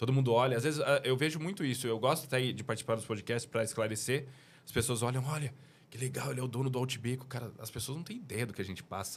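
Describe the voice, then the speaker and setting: A man with a medium-pitched voice talks at a very fast pace. His pitch varies in an ordinary way, and his voice is somewhat breathy. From Brazil, São Paulo. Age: 30s. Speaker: business owner. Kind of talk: casual chat.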